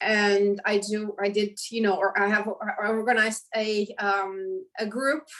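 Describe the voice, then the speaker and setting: A woman with a Romanian accent, fairly high-pitched and fairly slow-paced. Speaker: professor. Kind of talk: interview. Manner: halting.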